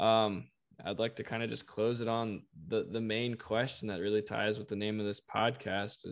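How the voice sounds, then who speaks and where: A man with an American accent has a plain, everyday voice, a fairly low pitch, fairly even intonation and a moderate pace. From North Carolina (Raleigh). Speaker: podcast host. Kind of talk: interview conversation.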